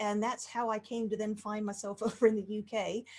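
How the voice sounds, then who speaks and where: With an American accent, a woman speaks at a fairly quick pace in a somewhat breathy voice of medium pitch. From Texas, Houston. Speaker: life coach. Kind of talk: interview. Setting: video call.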